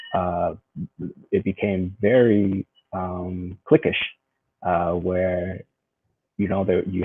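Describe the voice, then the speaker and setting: A man speaks in a Californian accent. His pitch is very deep and low, with monotone, flat intonation. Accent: Californian American English. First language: Vietnamese. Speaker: educator and spoken word artist. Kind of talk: interview conversation.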